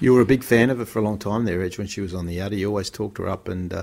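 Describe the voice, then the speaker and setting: Very fast, a man talks with fairly even intonation on a very clean recording with a silent background. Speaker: podcast host. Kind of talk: casual sports podcast hosting. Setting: studio.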